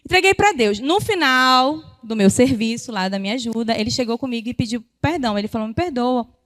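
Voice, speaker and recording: A woman talks loudly at a high pitch, her intonation lively. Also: hardly any pauses. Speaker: women's ministry speaker. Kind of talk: sermon. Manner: fast.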